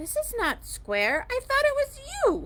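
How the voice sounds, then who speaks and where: A woman's put-on character voice, squeaky and extremely high-pitched, gentle in tone and fairly slow, over light background noise. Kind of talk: children's story read aloud. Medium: read story. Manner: gentle, storybook-simple.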